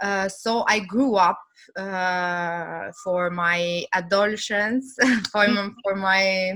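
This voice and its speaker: This tone is bright and sharp, with fairly even intonation. The pace is very slow. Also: woman, medium pitch for a woman. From Albania (Shkodra) and Rome, Italy from age 11. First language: Albanian. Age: 30s. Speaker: guest. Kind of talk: casual interview. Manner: halting, many fillers.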